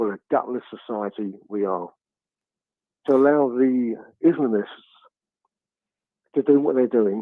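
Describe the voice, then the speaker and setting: With an English accent, a man talks at a moderate pace in a medium pitch with ordinary pitch variation. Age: 70s. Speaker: caller, retired police officer. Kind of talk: phone-in call. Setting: phone call.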